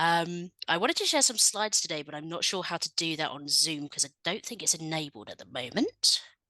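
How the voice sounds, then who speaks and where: A woman with a fairly low pitch and a bright, sharp tone talks at a fairly quick pace, with big swings in loudness and a dry, close sound with no echo. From England. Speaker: researcher. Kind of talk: presentation to conference. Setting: video call.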